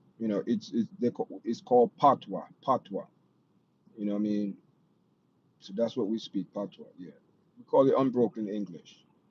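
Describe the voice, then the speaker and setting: A man in a Jamaican accent, with big swings in loudness and long, frequent pauses, in a dry, close sound with no echo. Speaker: live stream host. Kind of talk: casual chat. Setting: live stream. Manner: slow.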